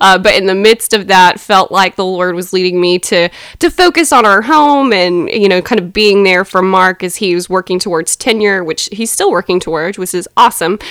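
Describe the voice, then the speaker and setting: In a Southern US accent, a woman talks at a moderate pace with hardly any pauses, her medium pitch showing ordinary variation. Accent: Southern American. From US South, Athens, Georgia. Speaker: church member, podcast co-host. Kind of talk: casual chat about faith.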